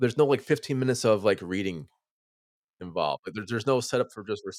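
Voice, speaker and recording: A man talks at a very fast pace in an animated tone, with big swings in loudness, long and frequent pauses, and a dry, close sound with no echo. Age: 20s. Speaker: horror podcast host. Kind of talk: casual chat.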